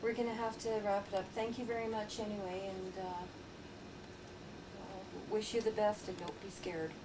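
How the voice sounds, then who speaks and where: A woman talks at a moderate pace and medium pitch with fairly even intonation and long, frequent pauses. Noticeable background noise and audible room echo surround her. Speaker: paranormal investigator. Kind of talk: narrated investigation and analysis.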